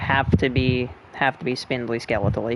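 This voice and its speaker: A man speaks quietly at a medium pitch. His pace is moderate. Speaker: gaming streamer. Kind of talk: let's play commentary. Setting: at home late at night, family asleep. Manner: quiet, subdued.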